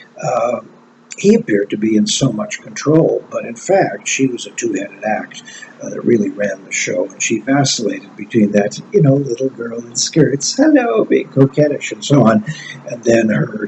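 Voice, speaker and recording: Against noticeable background noise, a man speaks at a moderate pace with big swings in loudness. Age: 70s. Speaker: commentator. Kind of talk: personal commentary. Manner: hesitant, many fillers.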